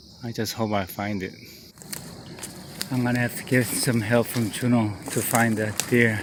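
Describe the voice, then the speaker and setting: Through noticeable background noise, a man speaks at a medium pitch in a monotone, flat intonation, with long, frequent pauses. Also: moderate pace. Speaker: hunter. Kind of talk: field commentary vlog.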